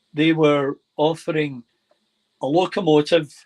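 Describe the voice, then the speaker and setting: In a Scottish accent, a man with a fairly high pitch speaks at a very slow pace with monotone, flat intonation, the sound dry and close with no echo. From Scotland, Glasgow. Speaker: model railway hobbyist. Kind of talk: casual chat, video call. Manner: hesitant, many fillers.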